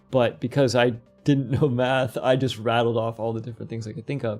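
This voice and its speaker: Faint music plays in the background as a man speaks at a fairly quick pace with fairly even intonation. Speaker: game development tutorial streamer; podcast guest. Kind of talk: live tutorial stream; interview answer. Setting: live stream. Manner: fast; casual, with fillers and restarts. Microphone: earbuds.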